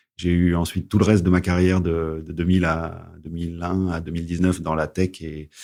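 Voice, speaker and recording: His voice is very deep and low, with a dark, mellow tone and monotone, flat intonation, and the man speaks with hardly any pauses. The recording is very clean, with a silent background. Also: moderate pace. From western France, Charente-Maritime. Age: 40s. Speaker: entrepreneur, agronomist. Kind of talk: interview podcast. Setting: studio. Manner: hesitant, repeats words.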